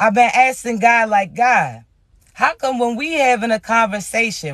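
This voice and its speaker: Loud and bright with a sharp tone, a man talks at a moderate pace with extremely high pitch. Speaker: spiritual reader. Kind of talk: spiritual channeled message. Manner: casual, conversational.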